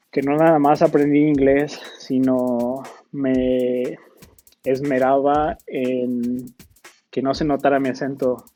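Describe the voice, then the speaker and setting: Music plays in the background as a man speaks at a medium pitch. His pace is very slow and his intonation monotone and flat. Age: 30s. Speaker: software engineer. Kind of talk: lecture.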